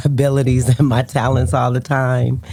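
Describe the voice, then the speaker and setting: The speaker talks at a fairly slow pace with fairly even intonation against noticeable background noise. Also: woman. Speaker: basketball coach and player's mother. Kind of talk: casual chat. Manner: loud.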